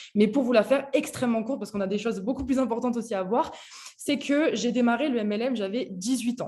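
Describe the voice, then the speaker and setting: In a plain, everyday voice, a woman speaks at a fairly quick pace with ordinary pitch variation. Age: 20s. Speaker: network marketing entrepreneur. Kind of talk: personal story on video call. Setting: video call.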